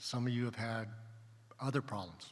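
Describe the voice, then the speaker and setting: Flat, monotone intonation from a man at medium pitch, with audible room echo. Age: 60s. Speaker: pediatric surgeon, panelist. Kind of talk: panel talk at a conference. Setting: stage with audience.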